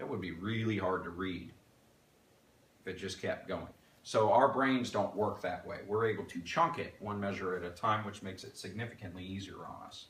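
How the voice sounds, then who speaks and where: A fairly low-pitched male voice at a moderate pace, with ordinary pitch variation, big swings in loudness and audible room echo. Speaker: music teacher. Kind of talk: tutorial.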